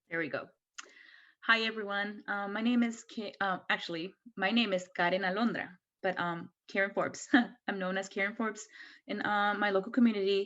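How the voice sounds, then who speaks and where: A woman speaks with a Mexican accent, leaving long, frequent pauses. The background is quiet. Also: medium pitch for a woman, fairly even intonation, fairly quick pace. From Mexico. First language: Spanish. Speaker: brewery owner and nonprofit board member. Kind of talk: video call presentation.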